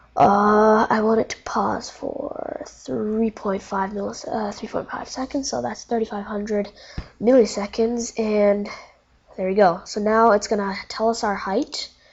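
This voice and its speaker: Speaking at a fairly slow pace with fairly even intonation, a woman with a fairly high pitch is heard over noticeable background noise. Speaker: coding tutorial youtuber. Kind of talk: tutorial. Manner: halting, many fillers; casual.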